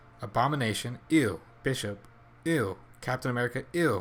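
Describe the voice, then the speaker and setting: A man's medium-pitched voice with ordinary pitch variation on a very clean recording against a silent background. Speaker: gaming youtuber. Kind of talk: gameplay livestream commentary. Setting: livestream. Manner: animated.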